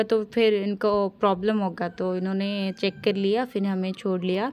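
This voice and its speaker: A woman with an Odia accent speaks in a monotone, flat intonation. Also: very clean recording, silent background. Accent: Odia-accented Hindi. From Odisha, India. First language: Odia (speaking Hindi). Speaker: travel vlogger. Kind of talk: casual vlog narration. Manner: halting, many fillers.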